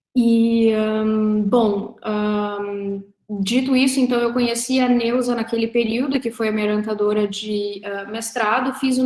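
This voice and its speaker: A woman's fairly high voice, monotone and flat, at a fairly slow pace with hardly any pauses. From southern Brazil, Rio Grande do Sul (Três Passos, Porto Alegre). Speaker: researcher and professor. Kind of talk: online talk about academic career. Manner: hesitant with fillers.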